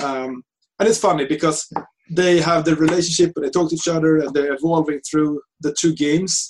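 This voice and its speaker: With fairly even intonation, a man talks at a fairly quick pace in a fairly high pitch. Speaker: game developer. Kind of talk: casual chat. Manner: fast.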